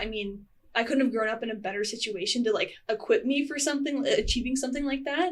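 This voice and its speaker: A woman's high-pitched voice at a very fast pace, with a slight Wisconsin accent and ordinary pitch variation. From US Midwest, rural Wisconsin near Wausau. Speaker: former college track athlete. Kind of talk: casual chat.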